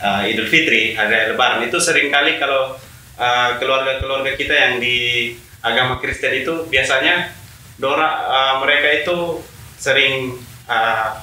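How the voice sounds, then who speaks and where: A man at medium pitch talks at a moderate speed with ordinary pitch variation, his voice caught in audible room echo over noticeable background noise. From Alor, East Nusa Tenggara, Indonesia. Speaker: youth community member. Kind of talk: casual chat. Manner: halting, many fillers.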